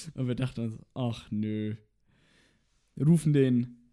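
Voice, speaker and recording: A man speaks with a dark, mellow tone and ordinary pitch variation. He keeps a moderate pace in a very clean recording with a silent background. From Franconia, Germany (near Nuremberg). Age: 20s. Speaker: podcast co-host, university student. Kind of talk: casual chat. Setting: in the same room as co-host. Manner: animated.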